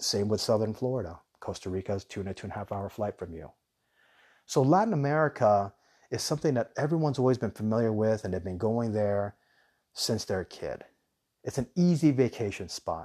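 Over a quiet background, a man talks at a fairly quick pace in a fairly low pitch, his tone intense as well as dark and mellow, with lively intonation. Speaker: podcast host, relocation business owner. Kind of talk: monologue podcast. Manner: enthusiastic.

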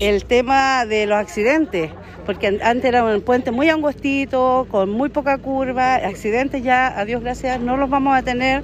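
Crowd noise fills the background as a woman speaks in a high voice with ordinary pitch variation. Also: fairly slow pace. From Chile, Valparaíso region (Limache area). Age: 40s. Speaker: neighborhood association president. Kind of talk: street interview.

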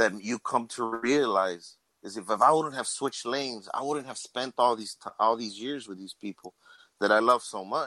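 Recorded very cleanly against a silent background with a dry, close sound and no echo, a man speaks at a moderate pace in a medium pitch, his tone bright and sharp and his pitch varying in an ordinary way. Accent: American. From Laredo, Texas. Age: 40s. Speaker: podcast co-host, city inspector. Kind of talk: casual chat.

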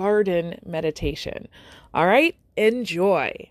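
A woman with an unremarkable speaking voice talks at a fairly slow pace and medium pitch, with ordinary pitch variation, on a very clean recording with a silent background. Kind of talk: guided meditation. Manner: soft-spoken, calm and inviting, speaking directly to the listener.

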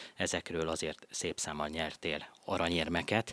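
In a dry, close sound with no echo, a man with a very deep, low pitch speaks at a moderate pace, monotone and flat, with a bright, sharp tone. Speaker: radio host. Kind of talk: radio interview. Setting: studio.

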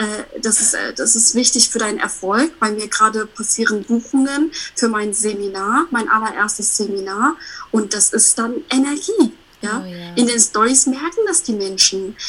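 Noticeable background noise accompanies a woman at a moderate pace. Her pitch is fairly high, with ordinary variation. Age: 30s. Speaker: self-employed coach. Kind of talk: casual interview chat. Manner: animated.

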